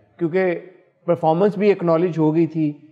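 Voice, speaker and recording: There is faint music in the background as a man speaks with a high pitch. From Pakistan. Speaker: talk show host. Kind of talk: celebrity interview. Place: studio. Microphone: lapel.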